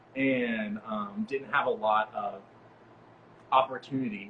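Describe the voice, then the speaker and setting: With noticeable background noise behind him, a man talks with an American accent and ordinary pitch variation. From East Texas, US. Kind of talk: casual chat.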